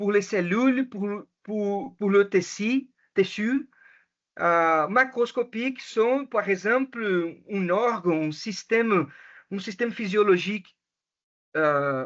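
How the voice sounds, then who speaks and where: In a Portuguese accent, the speaker goes at a very slow pace with long, frequent pauses. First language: Portuguese (speaking French). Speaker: education researcher. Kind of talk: academic presentation. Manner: halting, many hesitations and self-corrections.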